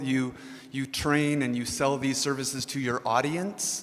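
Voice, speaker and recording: Background noise can be clearly heard. Over it, a man talks. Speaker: audience member. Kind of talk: audience question. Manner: loud.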